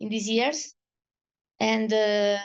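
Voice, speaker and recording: The speaker has an Italian accent, heard against a quiet background. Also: woman. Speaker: patient advocate. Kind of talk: testimony. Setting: video call. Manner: halting.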